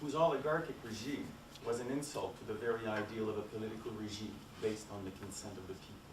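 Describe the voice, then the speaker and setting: A man with a Quebec accent speaks at a fairly quick pace amid audible room echo and noticeable background noise. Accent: Québécois French accent in English. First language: French. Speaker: academic conference speaker. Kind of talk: conference talk, storytelling from a written paper. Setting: conference with audience. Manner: reading from paper, somewhat halting.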